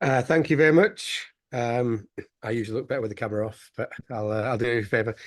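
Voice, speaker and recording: Talking at a very fast pace with a Yorkshire accent, a man keeps a medium pitch and ordinary pitch variation. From northern England, West Yorkshire. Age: 30s. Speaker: former student, business founder. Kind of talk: interview testimony. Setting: video call.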